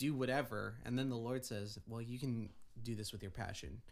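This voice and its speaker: In an American accent, a man with a normal speaking voice and medium pitch talks at a moderate pace. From Oregon. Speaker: music student. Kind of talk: testimony.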